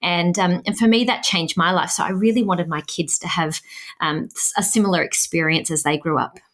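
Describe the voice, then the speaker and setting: A woman with an Australian accent, her fairly low pitch carrying ordinary variation at a fairly quick pace. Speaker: language education founder, parent. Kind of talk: podcast interview.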